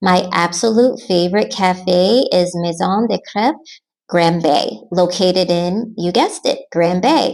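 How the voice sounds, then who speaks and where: A woman with an American accent and an unremarkable speaking voice talks at a medium pitch and fairly slow pace, with lively intonation and very even loudness. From United States. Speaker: expat vlogger. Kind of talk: scripted Q&A narration.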